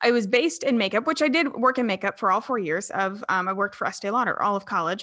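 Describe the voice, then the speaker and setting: The speaker is a woman with an American accent. She talks at a fairly high pitch. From US South. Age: 20s. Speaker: entrepreneur. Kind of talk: casual chat. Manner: animated.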